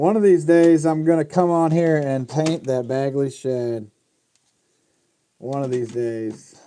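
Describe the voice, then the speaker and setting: Delivery comes at a very slow pace, broken by long, frequent pauses. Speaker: fishing lure painter streaming. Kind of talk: live stream tutorial chat. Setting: live stream workshop. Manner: muffled by mask.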